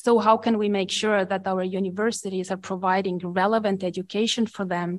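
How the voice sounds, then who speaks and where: The speech is monotone and flat, in an Estonian accent. The background is quiet. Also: woman. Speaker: education professor. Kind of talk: panel discussion. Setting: conference room with audience.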